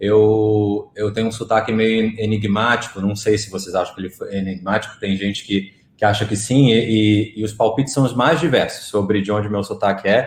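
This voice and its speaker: With hardly any pauses, a man speaks at a moderate pace and a fairly low pitch, his intonation fairly even. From Rio de Janeiro, Brazil. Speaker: marketing executive. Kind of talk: live online talk interview.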